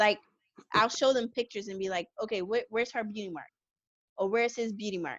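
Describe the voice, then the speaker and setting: A woman talks at a very fast pace yet with long, frequent pauses. Her pitch is fairly high, with ordinary variation. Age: 30s. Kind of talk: interview.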